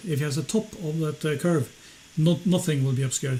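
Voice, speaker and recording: With a Norwegian accent, a man talks at a very fast pace in a fairly high pitch with ordinary pitch variation, over noticeable background noise. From Norway. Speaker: flat earth debunker, channel owner. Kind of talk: heated debate. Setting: live stream call.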